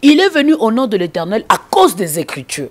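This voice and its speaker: The woman's pitch swings very widely as she talks. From DR Congo. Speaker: gospel singer; interviewee. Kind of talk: interview. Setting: indoors. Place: home room. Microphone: handheld.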